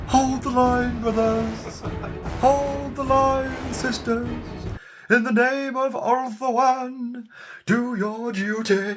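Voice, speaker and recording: Clear music plays behind a put-on character voice that is gravelly and fairly high in pitch, speaking at a very slow pace. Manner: shouting, rallying.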